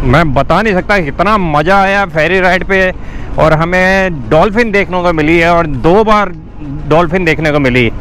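A man talks at a fairly slow pace with a high pitch and ordinary pitch variation. The sound is dry with no echo, and there is light background noise. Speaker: motorbike travel vlogger. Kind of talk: casual vlog chat. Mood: excited and happy. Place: motorbike. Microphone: helmet.

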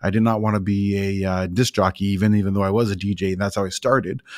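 A fairly low-pitched man talks at a very fast pace. The sound is dry with no echo, and the background is quiet. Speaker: podcast host; former DJ. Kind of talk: podcast interview. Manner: casual, upbeat. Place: studio. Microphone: studio mic.

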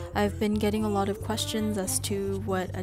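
A woman speaks in a very deep, low pitch while music plays in the background. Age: 20s. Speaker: orthodontics resident. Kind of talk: vlog voiceover narration.

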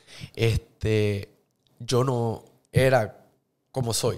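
A man at medium pitch talks with fairly even intonation. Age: 30s. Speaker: social media influencer and actor; podcast guest. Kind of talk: casual interview. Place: studio. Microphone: studio mic.

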